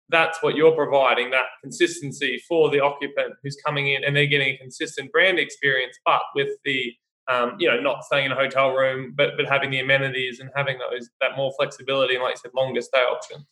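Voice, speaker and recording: This man has an Australian accent. He talks fairly quickly. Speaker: podcast host. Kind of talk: interview.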